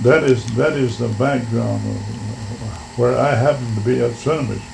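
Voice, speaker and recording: A man's fairly even intonation comes through against noticeable background noise. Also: medium pitch for a man. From Washington State, USA. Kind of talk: oral history interview answer.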